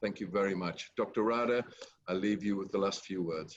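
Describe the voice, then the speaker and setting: A man at a moderate pace, fairly low in pitch, with ordinary pitch variation. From England. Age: 70s. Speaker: company chairman hosting a webinar. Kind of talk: webinar moderation. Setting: online webinar. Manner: hesitant, many fillers.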